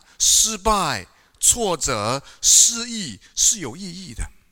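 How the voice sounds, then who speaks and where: Raised, projected male voice, high in pitch and bright and sharp in tone, with lively intonation at a very slow pace. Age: 50s. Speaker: pastor. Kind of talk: sermon. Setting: church. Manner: animated.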